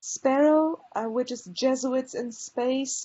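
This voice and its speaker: The speaker is a woman with a high pitch. Her pitch variation is ordinary. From Poland. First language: Polish. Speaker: librarian. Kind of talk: presentation. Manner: hesitant fillers (um, uh).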